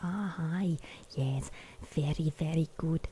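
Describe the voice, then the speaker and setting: A put-on character voice at a middle pitch moves at a fairly slow pace. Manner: silly, mocking.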